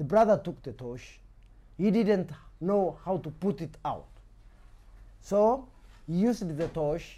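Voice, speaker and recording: A man's high-pitched voice with a dark, mellow tone and lively intonation, at a very slow pace with long, frequent pauses. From Kenya. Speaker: storyteller. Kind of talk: oral folk story telling.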